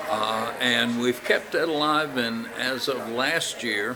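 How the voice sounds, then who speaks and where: Over noticeable background noise and audible room echo, a man speaks at a fairly slow pace. His pitch is medium and his intonation fairly even. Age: 70s. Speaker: karate school owner and martial arts instructor. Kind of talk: interview.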